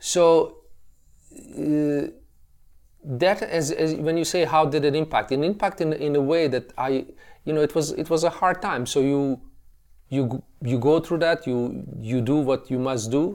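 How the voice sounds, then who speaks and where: A man with a Bosnian accent speaks at a fairly slow pace in a fairly high pitch, with ordinary pitch variation, on a very clean recording with a silent background. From Bosnia, Tuzla. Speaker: classical guitarist and educator. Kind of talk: interview. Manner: hesitant, many repetitions.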